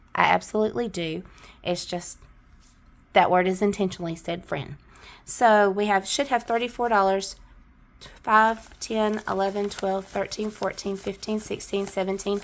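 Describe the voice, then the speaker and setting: A woman with a Southern US accent at medium pitch, moderate in pace with long, frequent pauses and fairly even intonation, in a very clean recording with a silent background. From US South. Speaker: budgeting vlogger. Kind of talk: casual chat. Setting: on camera at home.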